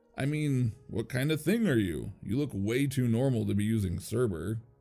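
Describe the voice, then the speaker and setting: Over music in the background, a man with a medium pitch talks at a moderate pace with lively intonation. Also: very even loudness. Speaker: narrator. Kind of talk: horror story narration.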